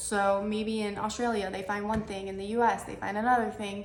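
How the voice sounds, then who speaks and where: A woman speaks at a fairly high pitch. Room echo can be heard in the recording. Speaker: dietitian. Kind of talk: tutorial. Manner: casual, filler-heavy.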